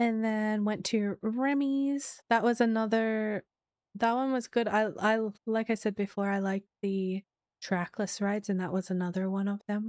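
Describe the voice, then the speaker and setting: Soft-spoken and fairly high-pitched, a woman talks at a moderate pace with fairly even intonation. The sound is dry and close, with no echo. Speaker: streamer. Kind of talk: casual chat. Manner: halting.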